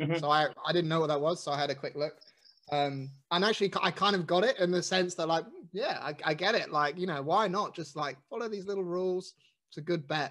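With a London accent, a man speaks at a fairly quick pace in a high voice. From South London, England. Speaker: guest. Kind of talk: casual chat.

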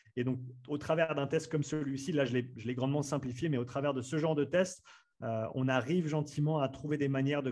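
Somewhat breathy, a man speaks in a fairly high pitch with fairly even intonation. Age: 30s. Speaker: strength and conditioning coach. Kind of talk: interview. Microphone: good podcast microphone.

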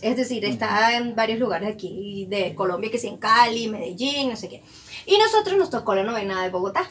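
Over noticeable background noise, a woman talks at a moderate pace with lively intonation. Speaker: podcast co-host. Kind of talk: casual chat.

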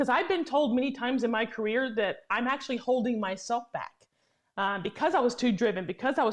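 A woman's normal speaking voice with an American accent, fairly high in pitch, with ordinary pitch variation and a fairly quick pace. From Tennessee, US. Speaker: lobbyist. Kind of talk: interview. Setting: remote call from D.C.

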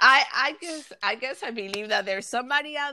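In a Spanish accent, a woman uses a raised, projected voice that is high-pitched, bright and sharp, with ordinary pitch variation. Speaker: podcaster. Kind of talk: casual chat.

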